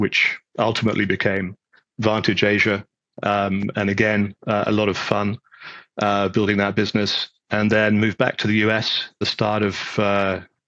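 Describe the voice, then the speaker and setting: A man with a British accent, fairly low in pitch, with a bright, sharp tone, monotone, flat intonation, very even loudness and a moderate pace, in a dry, close sound with no echo. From UK. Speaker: data center executive. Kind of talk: interview. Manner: hesitant, many fillers.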